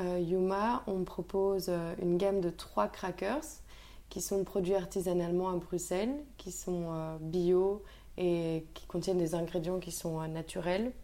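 Her dark, mellow tone moves at a very slow pace, and the woman's pitch varies in an ordinary way. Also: medium pitch for a woman. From Belgium, Brussels. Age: 20s. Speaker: food entrepreneur. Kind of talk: interview.

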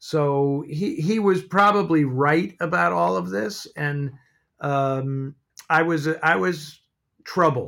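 Speaking very slowly, a man uses lively intonation and a fairly high pitch. He has a West Coast accent. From San Francisco, US. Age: 60s. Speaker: film historian and writer. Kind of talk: casual interview chat. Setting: video call from home office.

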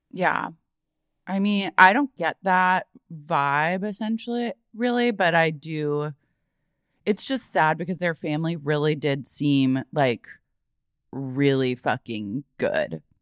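A woman speaks very slowly in a fairly low voice, with very wide swings in pitch. Long pauses come often, and the sound is dry and close with no echo. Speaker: podcast co-host. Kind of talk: casual chat. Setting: remote recording.

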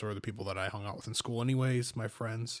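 In a very clean recording with a silent background, a man with an American accent talks at a very fast pace in a flat, monotone way. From Michigan, small farm town. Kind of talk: casual chat.

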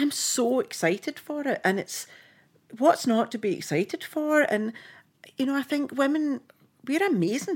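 Very wide pitch swings mark this woman's high-pitched voice, delivered in a Scottish accent at a moderate pace with long, frequent pauses. The recording is very clean, with a silent background. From Scotland. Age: 50s. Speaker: film costume designer. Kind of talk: casual chat. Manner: animated.

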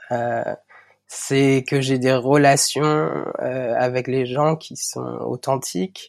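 A man at a very slow pace, on a very clean recording with a silent background. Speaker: podcast guest sharing personal story. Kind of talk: personal testimony. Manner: halting with many fillers.

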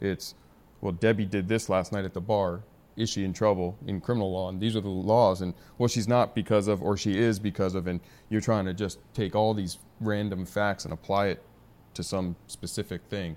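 A man with an unremarkable speaking voice talks at a moderate pace, pitched fairly low, his intonation fairly even. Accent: American. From San Diego, US West Coast. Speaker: business founder. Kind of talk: casual interview. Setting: studio.

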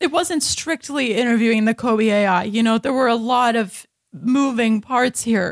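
A woman with a normal speaking voice, fairly high in pitch, speaks at a fairly slow pace with ordinary pitch variation and very even loudness, in a very clean recording with a silent background and a dry, close sound with no echo. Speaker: comedian. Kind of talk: comedic improv banter.

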